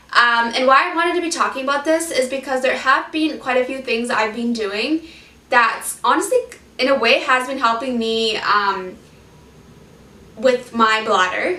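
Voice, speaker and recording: A woman speaks in a raised, projected voice with an animated tone. Her pitch is high, with ordinary variation. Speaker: vlogger sharing life with multiple sclerosis. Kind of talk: casual vlog talk to camera. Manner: fast.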